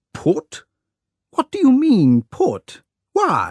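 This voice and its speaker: A man uses a put-on character voice at an extremely high pitch. The sound is dry and close, with no echo. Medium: read story. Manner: flustered, exclamatory.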